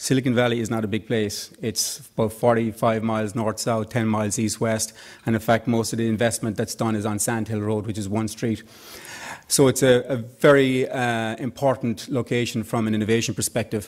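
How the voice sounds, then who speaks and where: An Irish accent marks this man's fairly quick speech. His medium-pitched voice stays monotone and flat. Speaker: tech executive and organization founder. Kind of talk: conference speech.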